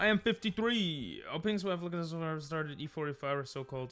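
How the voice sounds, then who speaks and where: A man with very wide pitch swings and an American accent, music in the background. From US, New York. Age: 20s. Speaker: chess livestreamer. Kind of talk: casual livestream chat while playing chess.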